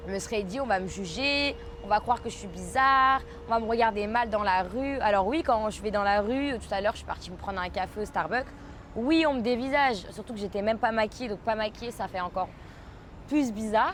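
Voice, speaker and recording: A woman speaks with a Parisian accent. Her pitch is fairly high, with ordinary pitch variation. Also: fairly quick pace. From France, Paris. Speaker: podcaster. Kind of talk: casual monologue podcast. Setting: outdoors by a pool. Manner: hesitant, frequent fillers.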